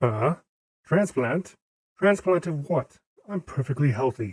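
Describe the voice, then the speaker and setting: A fairly slow, fairly high-pitched put-on character voice from a man. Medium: read story. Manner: blunt, sarcastic.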